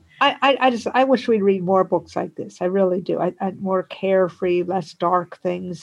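A woman's medium-pitched voice, an unremarkable speaking voice, at a moderate pace with ordinary pitch variation and hardly any pauses. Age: 60s. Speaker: schoolteacher. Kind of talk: casual chat. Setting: video call.

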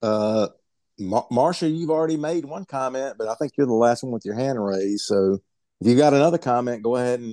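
The voice has a dark, mellow tone and lively intonation at a moderate pace, heard dry and close with no echo over a quiet background. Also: man. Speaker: call moderator. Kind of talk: book club discussion. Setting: video call.

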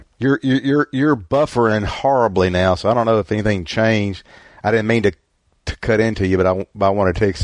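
A man's fairly low voice in a strong Southern US accent, with ordinary pitch variation, a fairly quick pace, and a dry, close sound with no echo. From US South. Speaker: book club host. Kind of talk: casual book club discussion. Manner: rambling, halting, many fillers.

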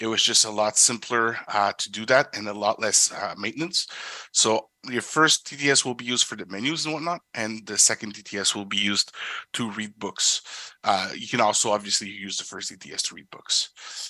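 A man's medium-pitched voice with a French accent, bright and sharp in tone, at a moderate pace with ordinary pitch variation. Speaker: assistive tech company product specialist. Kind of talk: product presentation and Q&A.

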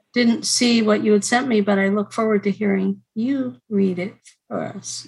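Her pitch is medium, with ordinary variation, as a woman speaks at a moderate pace. Her voice is somewhat breathy. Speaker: writing group host. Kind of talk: casual group chat. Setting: video call.

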